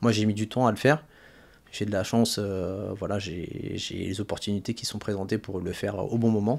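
A man's fairly low pitch, fairly even intonation and moderate pace. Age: 30s. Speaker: personal trainer, former finance worker; personal trainer. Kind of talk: interview. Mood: calm, reflective. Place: studio. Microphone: studio mic.

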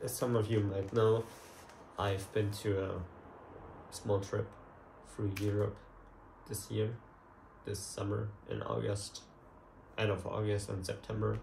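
Speaking at a fairly slow pace in a flat monotone, a man leaves long, frequent pauses amid light background noise and audible room echo. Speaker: photography vlogger. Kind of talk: casual vlog chat. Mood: relaxed, lightly amused. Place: home room. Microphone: camera far.

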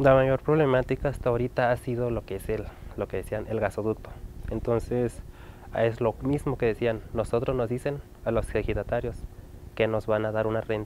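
A man speaks at medium pitch and a fairly quick pace, his intonation monotone and flat. The sound is dry with no echo, over light background noise. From Chihuahua, Mexico. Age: young. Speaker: interviewee. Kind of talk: interview testimony. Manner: halting, many fillers. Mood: serious, concerned.

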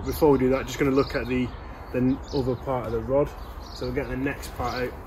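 A man of medium pitch talks at a fast pace with little pitch movement.

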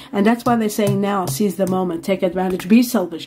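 A woman speaks at a moderate pace with ordinary pitch variation. Her tone is dark and mellow. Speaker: tarot reader. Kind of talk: tarot reading commentary. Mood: warm, enthusiastic. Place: home room.

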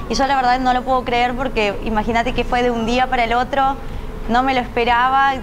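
High-pitched female speech, with noticeable noise in the background. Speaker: TV interviewee. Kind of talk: interview answer. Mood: happy, smiling, laughing. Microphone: lapel.

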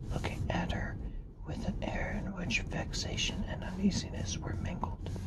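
Loud background noise accompanies speech at a fairly slow pace. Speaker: ASMR reader. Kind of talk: classic novel reading.

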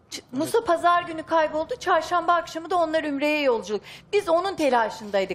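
A woman talks at a fairly quick pace. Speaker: wife of a missing man. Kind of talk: emotional testimony. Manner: halting, uncertain. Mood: worried, earnest. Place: studio.

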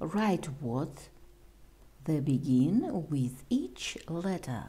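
A woman's voice carries a dark, mellow tone and is somewhat breathy. Her pitch swings very widely. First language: Russian. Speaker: English teacher. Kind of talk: tutorial. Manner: slow.

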